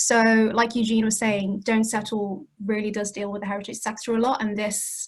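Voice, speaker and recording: Speaking at a fairly quick pace in a British accent, a woman has a fairly high pitch, a somewhat breathy sound, and monotone, flat intonation. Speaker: community heritage project worker. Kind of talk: panel talk. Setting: video call. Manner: fast.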